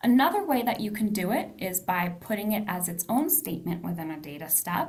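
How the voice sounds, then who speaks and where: Through noticeable background noise, a woman talks at a fairly quick pace with very wide pitch swings. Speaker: data analysis instructor. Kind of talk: tutorial. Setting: video call.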